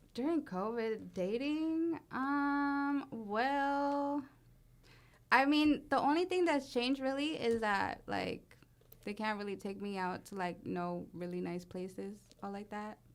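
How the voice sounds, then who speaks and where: On a very clean recording with a silent background, a woman with an American accent speaks at a high pitch and a very slow pace, her intonation lively. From Oakland, California. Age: 20s. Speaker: entrepreneur. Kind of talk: casual chat.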